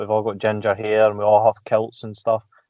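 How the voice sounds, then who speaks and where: The speaker has a Glaswegian accent. The delivery comes at a fairly quick pace. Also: man. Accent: Glaswegian Scottish. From Scotland, Glasgow area. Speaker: podcast guest. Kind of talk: casual chat.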